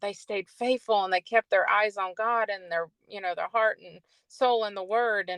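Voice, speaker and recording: A plain, everyday voice from a woman at medium pitch, with ordinary pitch variation. The sound is dry and close, with no echo. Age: 60s. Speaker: life coach and talk show host. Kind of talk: casual chat.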